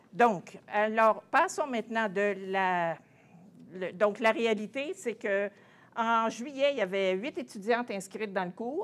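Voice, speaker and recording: A woman speaks very slowly in a fairly high pitch with ordinary pitch variation. The recording is very clean, the background silent. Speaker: translation professor. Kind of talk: conference presentation. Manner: halting.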